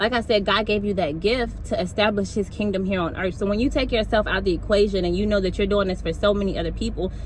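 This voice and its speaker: This woman talks at a very fast pace, her pitch medium for a woman. Audible room echo and noticeable background noise fill the recording. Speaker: motivational speaker. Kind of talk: motivational talk. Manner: animated.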